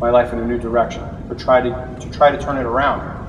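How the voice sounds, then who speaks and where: A man talks at a very fast pace, his medium pitch held in fairly even intonation. Noticeable background noise runs underneath. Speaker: suicide prevention speaker. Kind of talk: personal story speech to audience. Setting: live auditorium.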